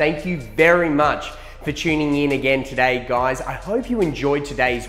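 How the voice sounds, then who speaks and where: Moderate pace and ordinary pitch variation, with faint music in the background. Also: man. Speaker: presenter. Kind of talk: promotional outro to camera. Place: studio. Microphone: lapel.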